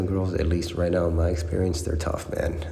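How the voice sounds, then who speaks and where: A man talks quietly at a fairly quick pace. Room echo is audible, and background noise is noticeable. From Mexico. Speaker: dating and self-improvement vlogger. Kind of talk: casual reaction monologue. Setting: at home at night. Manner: casual, profanity-heavy, filler-laden; kept down, quiet.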